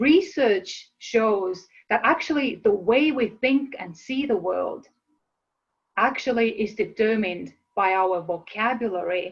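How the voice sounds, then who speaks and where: A woman speaks with an Estonian accent at a medium pitch, her pitch varying in an ordinary way. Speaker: motivational speaker. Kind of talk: webinar presentation. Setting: live online webinar.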